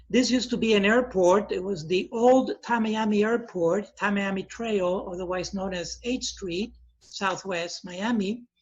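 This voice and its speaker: With a high pitch for a man, he talks at a fairly slow pace and hardly pauses at all. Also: ordinary pitch variation. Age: 60s. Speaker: priest and university professor. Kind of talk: lecture. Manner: frequent filler pauses.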